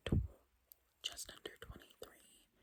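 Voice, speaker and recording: Whispering is what this woman does. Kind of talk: ASMR whisper ramble. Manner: whispered, soft-spoken.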